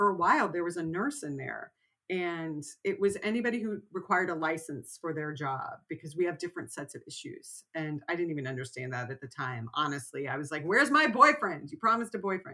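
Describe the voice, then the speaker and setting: A woman with an American accent speaks at a fairly quick pace with a fairly low pitch and a bright, sharp, animated tone. Her pitch swings very widely, and her loudness rises and falls a lot. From Texas. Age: 50s. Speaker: writer. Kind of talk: interview.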